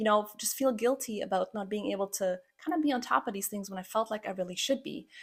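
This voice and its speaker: In a slight Croatian accent, a woman speaks at a very fast pace with lively intonation and a fairly high pitch. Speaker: podcast host, pharmacist and habit coach. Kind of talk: personal story podcast monologue. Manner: casual, conversational.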